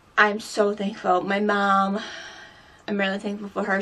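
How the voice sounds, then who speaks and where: A woman of medium pitch at a moderate pace, with noticeable background noise. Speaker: beauty vlogger. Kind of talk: personal vlog. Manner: halting.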